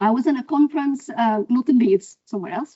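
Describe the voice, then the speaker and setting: A woman with an Arabic accent speaks in a high voice with ordinary pitch variation. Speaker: professor. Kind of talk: lecture.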